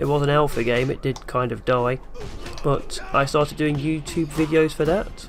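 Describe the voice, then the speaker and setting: A man speaks with fairly even intonation at a moderate pace. Background music plays, and his pitch is fairly high. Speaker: gaming youtuber. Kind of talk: vlog q and a. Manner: flat, low-energy.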